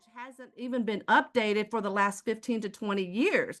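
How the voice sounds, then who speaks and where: A woman with an American accent, animated in tone, against a quiet background. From Houston, Texas. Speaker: sales presenter. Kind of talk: sales pitch.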